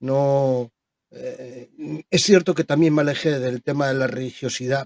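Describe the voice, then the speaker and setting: A man's medium-pitched voice at a very slow pace, with fairly even intonation and a dry, close sound with no echo. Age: 60s. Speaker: spiritual medium. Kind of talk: interview conversation. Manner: halting.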